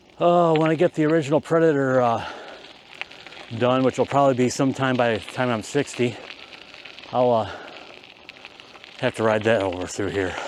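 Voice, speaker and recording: A man with an American accent talks at a fairly quick pace, broken by long, frequent pauses, with ordinary pitch variation and noticeable background noise. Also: medium pitch for a man. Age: 50s. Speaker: vlogger. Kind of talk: casual vlog narration. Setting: outdoors on a bicycle.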